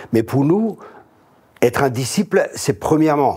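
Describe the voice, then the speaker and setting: This man talks at a fairly slow pace, his dark, mellow tone carried by lively intonation. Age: 60s. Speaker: pastor. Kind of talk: casual chat.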